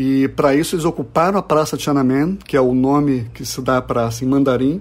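A man talks with ordinary pitch variation and a moderate pace. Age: 40s. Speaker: comics publisher. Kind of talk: interview. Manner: halting.

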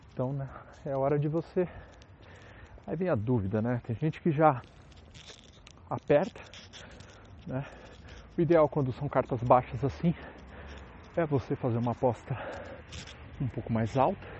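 Somewhat breathy and fairly high-pitched, a man speaks with long, frequent pauses. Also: ordinary pitch variation, moderate pace. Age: 30s. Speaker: podcaster. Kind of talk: casual monologue. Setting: outdoors, walking on the street. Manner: casual, colloquial.

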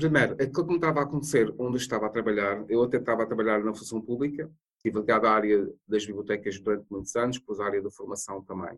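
A man talks very fast at a fairly low pitch with ordinary pitch variation. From Madeira, Portugal. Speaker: bibliotherapist and mentor. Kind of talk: interview.

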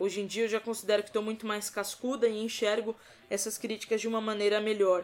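A woman at a very fast pace, fairly high in pitch, with monotone, flat intonation. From Brazil, São Paulo state. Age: 20s. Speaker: sports commentator. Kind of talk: podcast interview.

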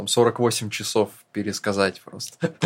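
A man speaks at a very slow pace. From northern Russia. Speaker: screenwriter-producer, podcast co-host. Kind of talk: casual chat.

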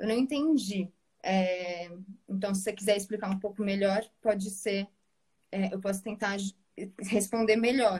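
Somewhat breathy, a woman speaks at a medium pitch and fairly slow pace, with fairly even intonation and long, frequent pauses. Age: 20s. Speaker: pedagogue. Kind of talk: online live debate.

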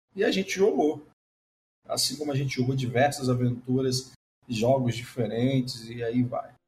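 With music in the background, a man's speech proceeds at a moderate pace. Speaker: podcast host. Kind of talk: casual chat.

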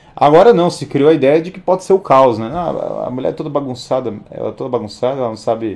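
With hardly any pauses, a man talks at a very fast pace in a fairly high pitch with lively intonation and big swings in loudness. Noticeable background noise is present. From Brazil. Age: 30s. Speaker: livestream host. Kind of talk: livestream monologue. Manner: animated.

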